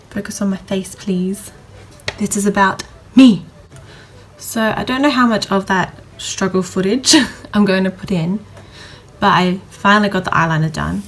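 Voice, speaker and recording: A woman speaks with long, frequent pauses. Noticeable background noise runs underneath. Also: medium pitch for a woman, ordinary pitch variation, moderate pace. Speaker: beauty vlogger. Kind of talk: makeup tutorial chat. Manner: stutters when naming products.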